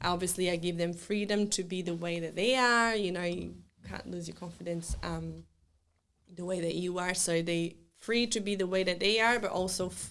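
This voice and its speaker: A woman in a Brazilian accent, fairly low in pitch, with audible room echo. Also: moderate pace. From southern Brazil. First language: Portuguese. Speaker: children's event planner. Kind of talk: casual interview chat. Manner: hesitant, many fillers and restarts.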